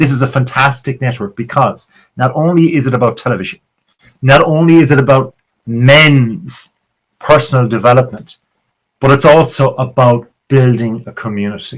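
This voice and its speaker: A man's medium-pitched, somewhat breathy voice with an Irish accent and ordinary pitch variation. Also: moderate pace. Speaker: podcast host. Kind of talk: podcast monologue intro. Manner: animated.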